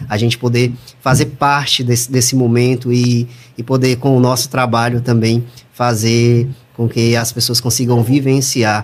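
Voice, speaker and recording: A somewhat breathy male voice at medium pitch, with monotone, flat intonation and a moderate pace. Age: 30s. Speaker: audio producer and voice-over announcer. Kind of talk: interview.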